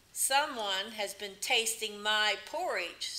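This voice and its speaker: This put-on character voice goes at a fairly slow pace. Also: woman, fairly high pitch for a woman. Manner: gruff, suspicious.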